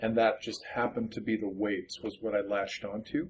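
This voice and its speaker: With an ordinary speaking voice, a man at medium pitch talks at a moderate pace with fairly even intonation. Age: 30s. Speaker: librarian and memoir author. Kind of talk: interview.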